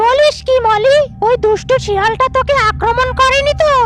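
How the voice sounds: A cartoonish character voice with an extremely high pitch. It moves at a moderate pace.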